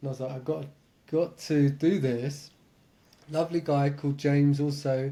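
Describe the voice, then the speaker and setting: With an English accent, a man speaks in a somewhat breathy, dark, mellow voice with monotone, flat intonation. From England. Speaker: meditation and lucid dreaming teacher. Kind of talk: podcast interview.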